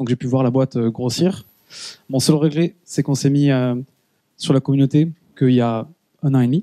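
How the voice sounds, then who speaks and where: Long, frequent pauses break up a man's speech, delivered at a moderate pace with medium pitch and fairly even intonation in a dry, close sound with no echo. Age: 30s. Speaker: product marketing director. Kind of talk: conference talk. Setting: stage with audience. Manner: hesitant, many fillers.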